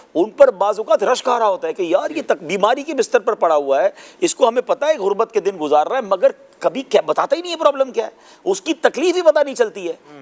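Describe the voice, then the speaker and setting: A man's high pitch with very wide pitch swings, in a dry, close sound with no echo. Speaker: Islamic scholar and preacher. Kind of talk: Islamic sermon (bayan) in Urdu. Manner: conversational, explanatory.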